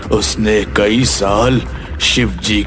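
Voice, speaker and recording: Loud background noise fills the recording. Over it, a man performs a cartoonish character voice. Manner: grave, ominous.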